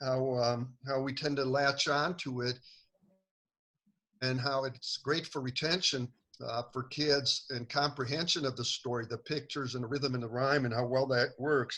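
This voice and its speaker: Speaking at a moderate pace, a man uses a monotone, flat intonation, his medium-pitched voice bright and sharp in tone. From Montenegro. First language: not English (English is his third). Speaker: children's author. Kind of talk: casual talk to an online group. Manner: many fillers and hesitations.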